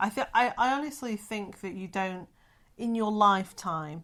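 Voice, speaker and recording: In a very clean recording with a silent background, a woman talks at a moderate pace with ordinary pitch variation in an ordinary speaking voice. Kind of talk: casual podcast conversation.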